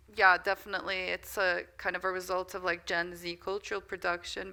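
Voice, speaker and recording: With a slight American accent, a woman speaks at a moderate pace in a bright, sharp tone on a very clean recording with a silent background. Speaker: media studies lecturer. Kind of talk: lecture Q&A answers. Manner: hesitant, many fillers.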